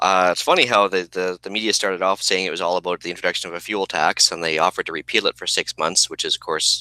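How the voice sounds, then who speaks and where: A man with a Canadian accent speaks at a very fast pace in a very deep, low pitch, yet with a bright, sharp tone. The sound is dry and close, with no echo. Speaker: podcast co-host. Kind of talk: casual chat.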